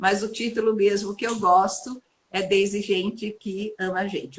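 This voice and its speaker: A somewhat breathy woman's voice at medium pitch and a fairly slow pace. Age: 70s. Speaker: sociologist, HR consultant and coach. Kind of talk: live-stream interview. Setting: live stream video call.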